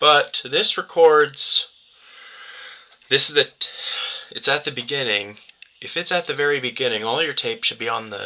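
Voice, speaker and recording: Noticeable background noise is heard. Over it, a man talks at a moderate pace. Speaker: YouTuber reviewing media formats. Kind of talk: tutorial. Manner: halting, stuttering.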